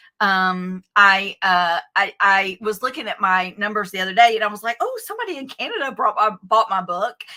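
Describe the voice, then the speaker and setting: A woman speaks at a moderate pace with hardly any pauses. Her medium-pitched voice has a bright, sharp tone and ordinary pitch variation. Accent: Southern US. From US South, Athens, Georgia. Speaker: author and education coach. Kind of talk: interview. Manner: halting, many fillers.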